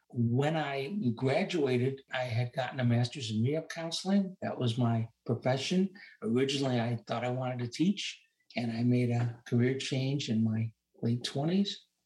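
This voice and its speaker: A man with a somewhat breathy, medium-pitched voice speaks at a moderate pace with ordinary pitch variation. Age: 70s. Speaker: retired rehabilitation counselor and investor. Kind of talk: interview.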